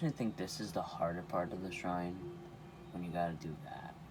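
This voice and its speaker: A man with a very deep, low voice speaks quietly at a moderate pace, with audible room echo and noticeable background noise. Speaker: gaming youtuber. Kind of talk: gameplay commentary. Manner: casual.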